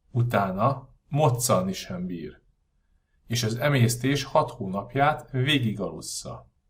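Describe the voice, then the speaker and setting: At a very slow pace, a man with a medium pitch speaks in a somewhat breathy voice with lively intonation. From Budapest, Hungary. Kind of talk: audiobook reading.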